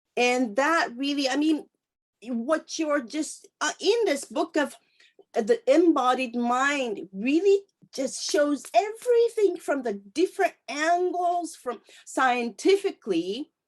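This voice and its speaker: A woman with a Japanese accent speaks at a very slow pace. Her high voice moves through very wide pitch swings. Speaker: interviewer. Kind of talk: interview. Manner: halting.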